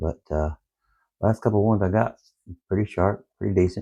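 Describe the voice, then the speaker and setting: Quiet and very deep, low in pitch, a man speaks in a dark, mellow tone. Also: very clean recording, silent background. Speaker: outdoor gear YouTuber. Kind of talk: product review. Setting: at home in the evening. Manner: quiet, low.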